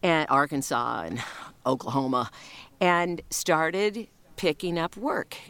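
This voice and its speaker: Her very deep, low voice moves at a very slow pace with lively intonation, the woman recorded dry and close with no echo, very clean against a silent background. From US Midwest. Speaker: voiceover artist. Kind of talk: casual interview chat.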